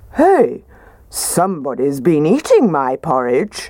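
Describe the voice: A put-on character voice at a middle pitch and fairly slow pace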